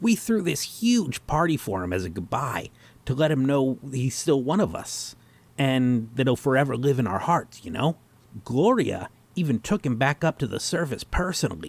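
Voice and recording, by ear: A man in a put-on character voice at medium pitch, slightly husky, with vocal fry and big pitch swings. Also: moderate pace.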